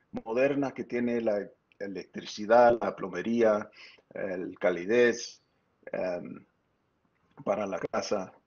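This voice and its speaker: A man with an American accent at a very slow pace, with ordinary pitch variation. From US Southwest, San Luis Valley, Colorado. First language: English (speaking Spanish). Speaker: architect and professor. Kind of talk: lecture. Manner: halting.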